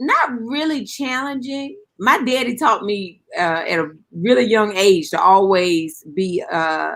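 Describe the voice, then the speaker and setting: Speaking in a North Carolina accent, a woman has a fairly high pitch and a bright, sharp tone. She goes at a very slow pace with very wide pitch swings. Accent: US Southern, North Carolina. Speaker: guest on a cooking talk show. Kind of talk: casual chat.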